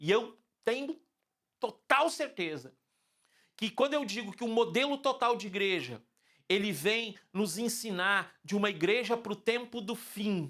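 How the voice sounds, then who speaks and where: The delivery comes at a fairly slow pace with long, frequent pauses. Intonation is lively. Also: man, high pitch for a man. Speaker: pastor. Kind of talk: sermon. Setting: online church service.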